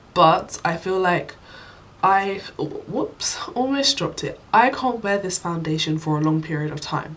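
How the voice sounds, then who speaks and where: Noticeable background noise sits behind a woman with a British accent and a fairly low pitch. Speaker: beauty vlogger. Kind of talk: product review. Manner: casual, many fillers.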